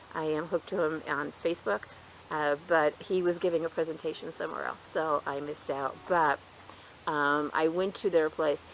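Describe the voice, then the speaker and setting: A woman with a very deep, low pitch and fairly even intonation. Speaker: gardening youtuber. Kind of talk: casual tutorial. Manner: fast.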